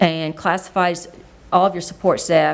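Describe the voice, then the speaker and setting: Here is an unremarkable speaking voice from a woman with an American accent. She talks at a moderate pace. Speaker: school superintendent. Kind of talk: public meeting presentation.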